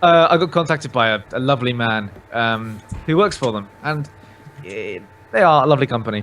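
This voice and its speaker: A speaker with a British accent talks at a fairly quick pace with lively intonation. Long pauses come frequently. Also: man, medium pitch for a man. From southern England, Oxfordshire. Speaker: gaming YouTuber. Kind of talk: casual chat.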